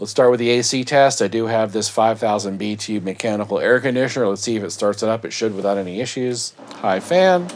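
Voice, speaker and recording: Rushing at a very fast pace with hardly any pauses, a man talks with ordinary pitch variation over noticeable background noise. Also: medium pitch for a man. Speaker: product reviewer. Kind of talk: product review.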